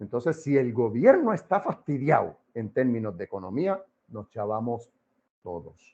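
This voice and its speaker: Animated in tone, a man speaks at a fairly slow pace. His pitch swings very widely and his loudness rises and falls sharply. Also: medium pitch for a man. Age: 60s. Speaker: political commentator. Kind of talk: interview.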